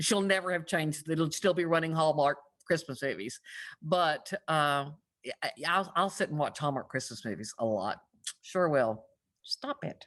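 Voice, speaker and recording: Someone talks at a moderate pace over a quiet background. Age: 60s. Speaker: romance author. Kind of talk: casual chat.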